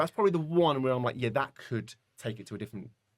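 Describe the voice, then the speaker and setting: At a very fast pace, a man in a British accent speaks with a medium pitch and ordinary pitch variation. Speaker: comedy content creator. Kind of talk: interview conversation. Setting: live podcast.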